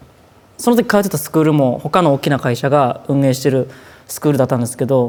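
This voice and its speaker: A man with a Kansai accent, fairly high pitch, ordinary pitch variation, fairly quick pace and big swings in loudness. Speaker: idol trainee. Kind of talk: documentary interview.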